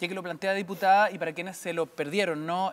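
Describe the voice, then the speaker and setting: This man's pitch is high. He keeps his intonation fairly even. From Chile. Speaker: radio host. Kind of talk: political interview. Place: studio.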